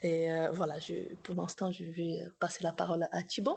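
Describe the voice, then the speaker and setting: This woman's pitch is fairly low. She speaks at a moderate pace with fairly even intonation. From Brazil. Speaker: doctoral researcher in psychology, workshop co-organizer. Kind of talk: academic workshop discussion. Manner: halting, many repetitions.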